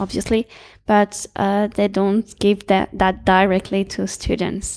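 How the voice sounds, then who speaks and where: A woman with a French accent is heard in a dry, close sound with no echo on a very clean recording with a silent background. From France. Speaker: student network volunteer. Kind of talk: interview. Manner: halting.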